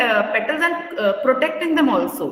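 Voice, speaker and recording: Audible room echo and noticeable background noise fill the recording. The woman's intonation is lively. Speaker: school teacher. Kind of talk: lecture. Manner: slow.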